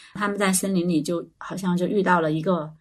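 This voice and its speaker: A woman speaks in an ordinary speaking voice at a medium pitch and a moderate pace. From China, small county town. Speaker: children's educator. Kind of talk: casual chat.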